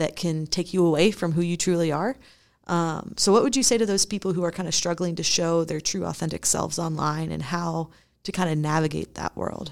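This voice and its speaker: Ordinary pitch variation and a fairly quick pace in a normal speaking voice. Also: woman, fairly low pitch for a woman. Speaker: podcast host and youth minister. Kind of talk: podcast interview.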